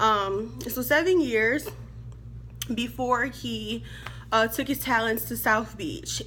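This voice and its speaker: A woman speaks in an animated tone at a fairly slow pace. Room echo can be heard. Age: 30s. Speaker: sports vlogger. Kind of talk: casual vlog commentary.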